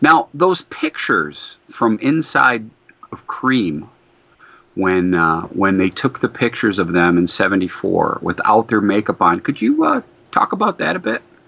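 In a dry, close recording with no echo, a man with an American accent speaks at a fairly slow pace and a fairly low pitch, his tone bright and sharp and his pitch swinging very widely. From Detroit, Michigan. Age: 50s. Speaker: podcast co-host. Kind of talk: casual interview chat.

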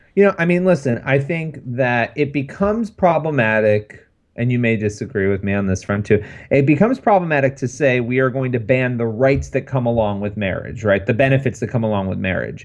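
In a normal speaking voice with an American accent, a man talks at a medium pitch and fairly quick pace with lively intonation against a quiet background. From New York. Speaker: podcast co-host. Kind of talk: casual chat. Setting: studio.

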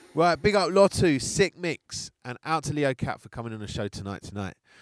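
A man with a British accent at a moderate pace, in a dry, close sound with no echo. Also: very clean recording, silent background. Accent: British, UK bass-scene. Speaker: radio DJ host. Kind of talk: DJ show presenting with shout-outs and track intros. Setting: radio studio show.

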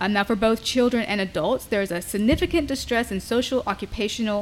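This is an unremarkable speaking voice, moving at a fairly quick pace and rising and falling with ordinary pitch variation. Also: woman. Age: 30s. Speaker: sex podcast host. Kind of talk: casual chat.

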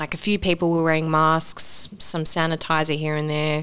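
A woman's fairly low voice in an Australian accent, monotone and flat, at a moderate pace. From Sydney, Australia. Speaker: actor. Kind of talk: casual chat.

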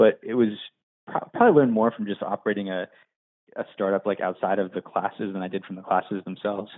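Very fast in pace, a man speaks at a fairly low pitch with fairly even intonation. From western Pennsylvania, near Pittsburgh. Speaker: startup founder and CEO. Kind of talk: interview. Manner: halting, many fillers.

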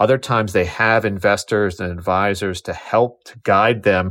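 This man has a plain, everyday voice, pitched fairly low, with fairly even intonation. The recording is very clean, with a silent background. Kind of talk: interview.

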